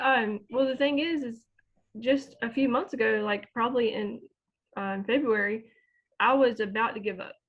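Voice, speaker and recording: A woman's fairly high voice at a moderate pace, with ordinary pitch variation and long, frequent pauses. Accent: Southern US. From US South, North Carolina small town. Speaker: small online business owner, homeschooling mom. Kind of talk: interview testimony.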